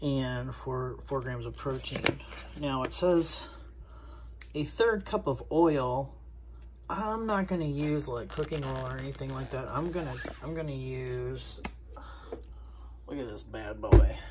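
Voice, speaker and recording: With an American accent, the speaker talks at a fairly slow pace with long, frequent pauses and big swings in loudness, and there is audible room echo. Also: woman. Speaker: food reviewer, diet coach. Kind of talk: casual cooking review vlog. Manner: casual, chatty.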